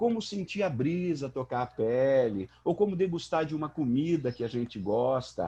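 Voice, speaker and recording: Speaking at a fairly slow pace, a man uses an animated tone. His voice is somewhat breathy. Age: 60s. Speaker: psychology professor. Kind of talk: panel discussion.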